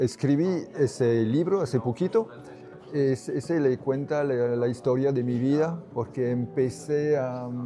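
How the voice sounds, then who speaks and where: Using a very slow pace, a man with a French accent speaks at a medium pitch. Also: ordinary pitch variation. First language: French (speaking Spanish). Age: 70s. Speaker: crystal hunter and author. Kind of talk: interview. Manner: halting.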